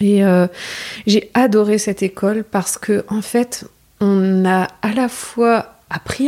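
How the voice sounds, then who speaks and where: Speech comes very slowly. The voice has a dark, mellow quality. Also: woman. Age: 30s. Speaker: masseuse and sophrologist. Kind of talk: casual interview conversation. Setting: at home, living room.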